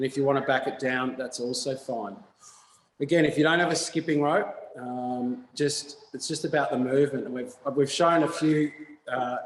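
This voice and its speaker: A man with an Australian accent and a fairly high pitch keeps his intonation fairly even. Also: moderate pace. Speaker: fitness instructor. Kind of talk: exercise class instruction. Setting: video call. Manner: loud.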